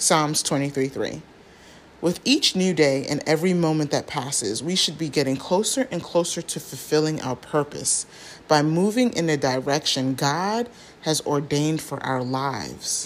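A woman speaks with a very deep, low pitch and a warm tone. Her pace is moderate and her intonation lively. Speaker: prayer devotional host. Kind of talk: fervent prayer; devotional reading and teaching. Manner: earnest, fervent; warm, encouraging.

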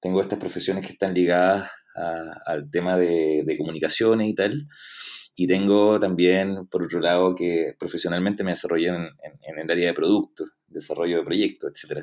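A man with a very deep, low voice talks at a moderate speed, his intonation staying fairly even. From Chile, Valdivia. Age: 30s. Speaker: product owner and UX designer. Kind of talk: interview.

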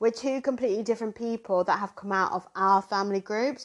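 Speaking in a southern English accent, a woman uses a fairly high pitch and fairly even intonation. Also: quiet background. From Zimbabwe, raised in southern England from age 7. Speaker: podcast host. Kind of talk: casual chat.

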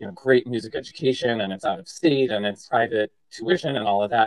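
In an American accent, a man with a plain, everyday voice talks at a fairly quick pace with a medium pitch and ordinary pitch variation. The sound is dry and close, with no echo. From Massachusetts. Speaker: arts education vice president, former admissions officer. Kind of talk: interview conversation.

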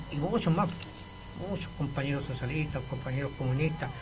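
Over noticeable background noise and audible room echo, a man talks at a fairly high pitch with fairly even intonation. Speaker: retired teacher and political activist. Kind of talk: radio interview.

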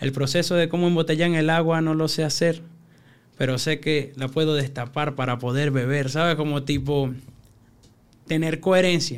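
Here a man speaks with a Venezuelan accent. His intonation stays fairly even. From Venezuela (Caracas hillside barrio). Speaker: freestyle rapper. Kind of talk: casual interview.

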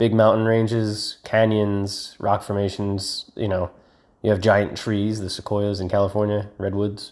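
A man speaks with an American accent in a fairly low voice, at a fairly slow pace. His intonation is monotone and flat. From United States. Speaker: podcaster. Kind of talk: casual monologue. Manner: rambling, hesitant with many fillers.

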